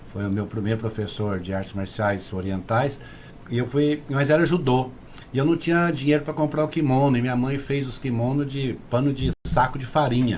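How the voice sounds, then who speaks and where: A man with a normal speaking voice at a medium pitch and a moderate pace, with ordinary pitch variation. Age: 60s. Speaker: kung fu grandmaster. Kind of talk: casual interview chat.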